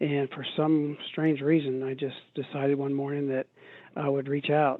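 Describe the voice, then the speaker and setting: A man talks at a fairly slow pace with a fairly high pitch. His intonation is monotone and flat. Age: 60s. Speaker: recovering alcoholic and ultrarunner. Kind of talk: interview testimony. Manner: halting, many fillers and repeats.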